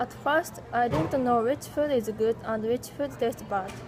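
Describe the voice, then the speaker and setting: Over noticeable background noise, a woman speaks at a high pitch with ordinary pitch variation. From Japan. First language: Japanese. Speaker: English language student. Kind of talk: class presentation. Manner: halting.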